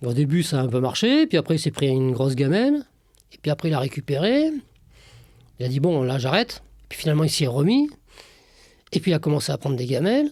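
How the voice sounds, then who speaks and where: The speech runs at a very fast pace, broken by long, frequent pauses. Loudness swings widely while pitch varies in an ordinary way. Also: man, fairly high pitch for a man. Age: 60s. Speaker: former trader. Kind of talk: casual interview. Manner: hesitant, many fillers.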